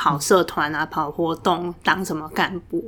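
Speaking at a fairly slow pace, a woman uses a fairly low pitch and a monotone, flat intonation. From Taiwan, Tainan. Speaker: graduate student. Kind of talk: casual interview chat.

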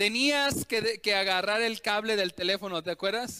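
A man projects his raised voice at a high pitch, with a bright, sharp tone. His intonation is fairly even and his pace fairly quick. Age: 30s. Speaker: pastor. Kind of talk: sermon.

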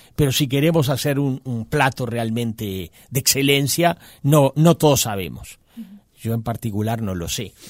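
In a very clean recording with a silent background, a man of medium pitch speaks at a fairly slow pace with ordinary pitch variation. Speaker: quality institute director. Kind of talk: radio interview. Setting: studio. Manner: halting.

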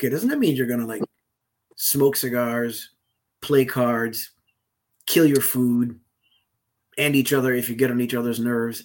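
Speaking at a moderate pace, a man uses an ordinary speaking voice with medium pitch and fairly even intonation. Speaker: podcast co-host. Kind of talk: casual conversation podcast.

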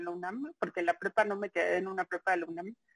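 In a Mexico City accent, a woman speaks against a quiet background. The sound is dry and close, with no echo. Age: 30s. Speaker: journalist. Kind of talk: interview. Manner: hesitant, many fillers.

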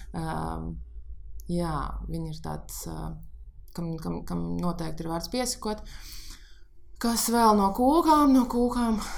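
There are big swings in loudness as a woman speaks amid audible room echo. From Riga, Latvia. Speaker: pastry chef. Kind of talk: casual chat.

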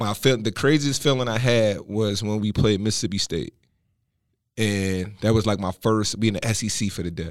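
A man speaks in an unremarkable speaking voice with an American accent. His pitch is fairly low, his pace moderate, and the recording very clean with a silent background. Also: ordinary pitch variation. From Philadelphia, US. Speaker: entrepreneur, former college football player. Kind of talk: casual interview.

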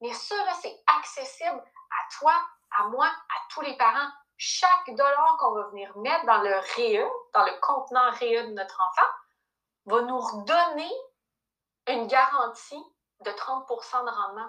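A woman uses a raised, projected voice with a high pitch and a bright, sharp tone, her loudness swinging widely. She speaks at a very slow pace with long, frequent pauses and lively intonation. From Quebec. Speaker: personal finance coach. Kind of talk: casual interview.

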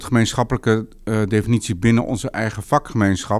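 A man speaks at a moderate pace in a fairly low pitch, on a very clean recording with a silent background. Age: 50s. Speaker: urban planner. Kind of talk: interview. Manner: halting.

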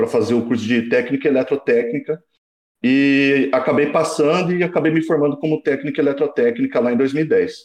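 A man with a normal speaking voice and fairly high pitch talks at a moderate pace with lively intonation. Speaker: engineering student. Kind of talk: casual chat.

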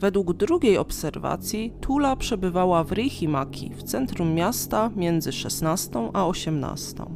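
A woman's fairly low voice with very wide pitch swings, a very slow pace, hardly any pauses, and a calm, solemn tone, with music in the background. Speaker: true-crime podcaster. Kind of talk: true-crime narration, measured storytelling of a victim's last morning. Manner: calm, even, solemn; detailed, matter-of-fact, steady pace.

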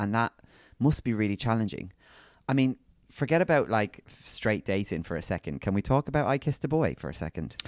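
A man with a British accent speaks at a fairly quick pace in an animated tone, his medium pitch swinging very widely and his loudness shifting a lot, in a dry, close sound with no echo. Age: 30s. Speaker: podcast co-host. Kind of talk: casual chat.

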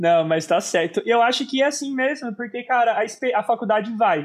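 Over a quiet background, a man talks with a high pitch. He holds a moderate pace with ordinary pitch variation. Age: 20s. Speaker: podcast host. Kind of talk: casual chat. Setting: live stream.

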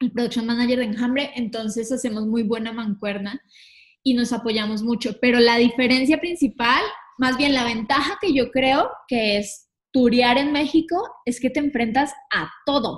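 The pitch varies in an ordinary way as the words come at a moderate rate. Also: woman, high pitch for a woman. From Colombia, Villavicencio. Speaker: tour manager. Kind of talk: casual interview chat.

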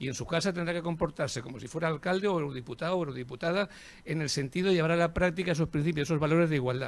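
This man's voice sits fairly high and varies in an ordinary way. He talks very fast. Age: old. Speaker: cultural institution director. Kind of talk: formal speech.

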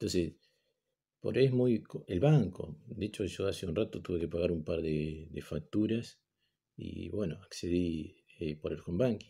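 Somewhat breathy with a dark, mellow tone, a man talks at a very deep, low pitch and a fairly slow pace, with ordinary pitch variation. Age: 50s. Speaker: teacher. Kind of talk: recorded online class lecture. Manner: halting, many fillers and repetitions.

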